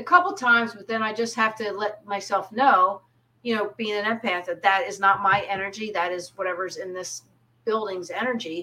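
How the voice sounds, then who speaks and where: Here a woman speaks with an American accent in a bright, sharp tone. Her pitch is fairly high with ordinary variation, and her pace is moderate. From US, southern New Jersey (Pine Barrens). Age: 50s. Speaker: psychic medium. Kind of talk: casual interview chat.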